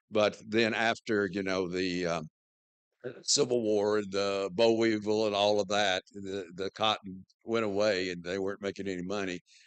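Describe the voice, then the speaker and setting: A man with a Southern US accent speaks at a fairly low pitch and moderate pace. His intonation is monotone and flat, and the sound is dry and close with no echo. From US South, western North Carolina. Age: 70s. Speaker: church member telling his life story. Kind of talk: personal talk to congregation. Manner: halting, many fillers.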